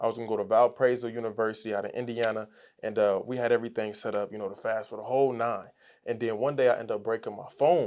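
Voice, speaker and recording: A man's very fast, flat, monotone delivery against a quiet background. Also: medium pitch for a man. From Chicago, US Midwest. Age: 20s. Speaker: entrepreneur. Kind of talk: casual interview.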